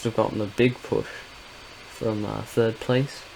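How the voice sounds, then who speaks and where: A man with an English accent speaks at a moderate pace and a fairly low pitch. His intonation is monotone and flat, with noticeable background noise. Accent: English accent in voiceovers. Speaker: sim racing gamer. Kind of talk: gameplay commentary voiceover. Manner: casual, with frequent filler words.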